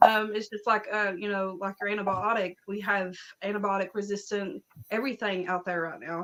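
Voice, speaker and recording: This woman keeps a fairly quick pace. Her intonation stays fairly even. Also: medium pitch for a woman. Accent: Appalachian. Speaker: herbalist and spiritual practitioner. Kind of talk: casual chat.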